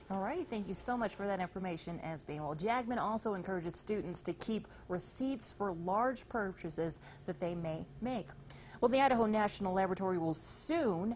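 A woman talks at a fairly quick pace, her pitch moving in an ordinary way. Her voice is somewhat breathy over light background noise. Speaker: news anchor. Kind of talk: newsreading, studio news anchor. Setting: studio. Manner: polished, steady, formal broadcast delivery. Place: studio. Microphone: lapel.

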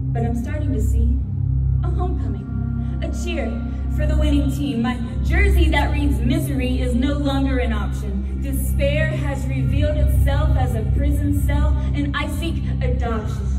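Loud music plays in the background. A woman speaks over it at a moderate pace. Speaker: spoken word poet. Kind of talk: live spoken word poetry performance. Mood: somber, emotional. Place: hall.

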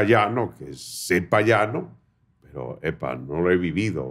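A man with vocal fry at a very slow pace. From Venezuela, Barinas; Venezuela. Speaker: podcast host. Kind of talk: interview. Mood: animated, warm storytelling. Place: studio. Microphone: studio mic.

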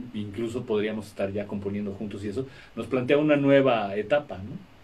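At a medium pitch, a man talks in an ordinary speaking voice. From Mexico. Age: 60s. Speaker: rock musician; interviewee. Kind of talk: interview. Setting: radio studio. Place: studio. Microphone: studio mic.

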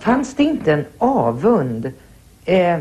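Her pitch swings very widely as the woman speaks. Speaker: interviewer. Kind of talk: interview. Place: home room. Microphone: lapel.

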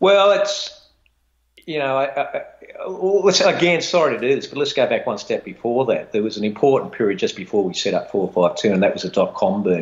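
A man with an Australian accent at a moderate pace. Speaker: retired fund manager; guest. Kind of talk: interview. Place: home room.

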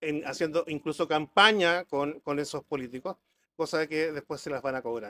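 In a bright, sharp tone, a man speaks at a moderate pace with a fairly high pitch. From Chile, rural Melipilla; Chile. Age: 60s. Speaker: businessman and council candidate; council candidate. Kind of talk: political debate. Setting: café with live audience. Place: cafe. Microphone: handheld.

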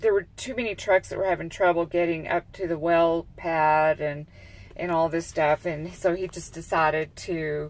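The recording is dry with no echo as a woman speaks at a fairly slow pace. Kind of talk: casual vlog chat. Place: car. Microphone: earbuds.

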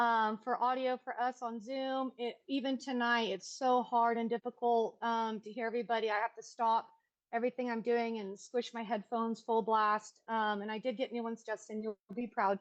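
This woman talks at a moderate pace with hardly any pauses. Her fairly high voice stays monotone and flat. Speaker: public commenter at city council meeting. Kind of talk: public comment. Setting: video call. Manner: loud.

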